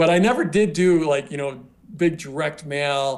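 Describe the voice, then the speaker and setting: A man with an American accent speaks in a normal speaking voice at a moderate pace. His pitch is fairly high, with ordinary pitch variation. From US West, southwest Colorado. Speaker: online marketing entrepreneur. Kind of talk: interview. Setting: video call.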